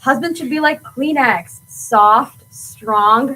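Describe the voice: A woman puts on a character voice with a high pitch and a bright, sharp tone, speaking slowly with ordinary pitch variation.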